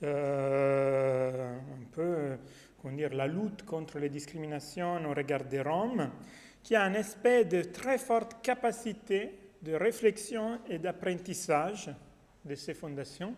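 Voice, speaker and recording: A man with a non-native accent, a high pitch, lively intonation and a very slow pace. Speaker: academic researcher. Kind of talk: conference talk. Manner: halting.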